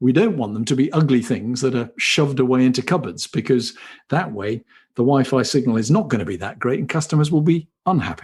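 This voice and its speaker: A man with a British accent, medium in pitch, somewhat breathy, at a fairly quick pace with lively intonation. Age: 60s. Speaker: company chief executive. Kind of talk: interview. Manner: hesitant, repeats words.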